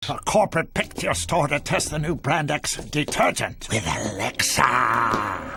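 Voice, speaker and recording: A man's put-on character voice, fairly high in pitch, at a fairly slow pace with hardly any pauses and very wide pitch swings. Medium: voice reel.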